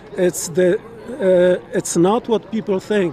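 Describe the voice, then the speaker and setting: This man's voice sits high in pitch, moving up and down an ordinary amount, with a Polish accent. Noticeable background noise runs under the recording. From Poland. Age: 60s. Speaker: interviewee at a political rally. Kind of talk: street interview.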